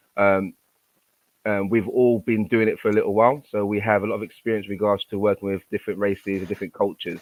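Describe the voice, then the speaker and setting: A man talks at a very fast pace. His intonation is flat and monotone. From Nigeria. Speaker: panel moderator and school teacher. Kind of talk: panel discussion.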